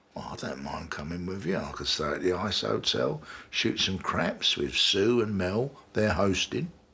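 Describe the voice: A man uses a put-on character voice with a low pitch and lively intonation. His tone is bright and sharp, and his pace is moderate.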